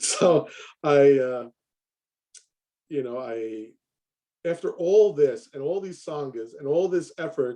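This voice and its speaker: A man's dark, mellow voice in an American accent, very slow with long, frequent pauses, lively intonation and big swings in loudness. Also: fairly high pitch for a man. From New York, Queens. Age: 60s. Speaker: Zen priest. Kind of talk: interview.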